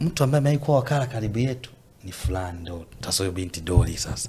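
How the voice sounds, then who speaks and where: Speaking at a moderate pace and medium pitch, a man makes very wide pitch swings and big swings in loudness. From Tanzania, Mbeya. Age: young. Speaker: gospel singer. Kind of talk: casual interview.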